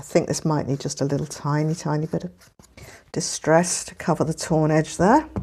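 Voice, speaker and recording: In an English accent, a woman speaks at a very deep, low pitch with a dark, mellow tone. Her intonation is monotone and flat, but her loudness swings widely. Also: moderate pace. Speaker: papercraft youtuber. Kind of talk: tutorial. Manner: casual, hesitant with fillers.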